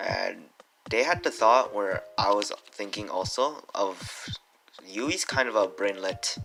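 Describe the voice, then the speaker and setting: A man speaks at a very slow pace with a fairly low pitch, leaving long, frequent pauses. Noticeable background noise runs under his voice. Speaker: anime reviewer. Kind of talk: unscripted video review. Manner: halting, stuttering with many fillers; casual, slangy.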